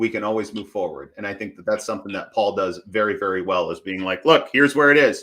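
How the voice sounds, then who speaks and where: A man with an American accent speaks in a bright, sharp tone at medium pitch. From Michigan. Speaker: business coach. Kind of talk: interview.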